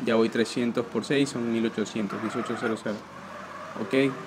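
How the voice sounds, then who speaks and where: Amid noticeable background noise, a man speaks at a very slow pace. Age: 20s. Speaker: gaming youtuber. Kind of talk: gameplay commentary. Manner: casual, rambling with filler words. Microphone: poor recording quality.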